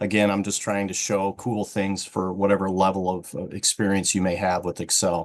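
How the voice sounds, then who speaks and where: Fairly low-pitched male speech, monotone and flat, with hardly any pauses. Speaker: IT director presenting a training webinar. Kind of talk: tutorial. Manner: fast.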